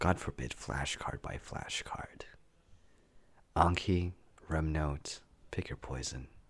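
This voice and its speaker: Whispering at a very slow pace. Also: man. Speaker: medical student. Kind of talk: reflective essay reading.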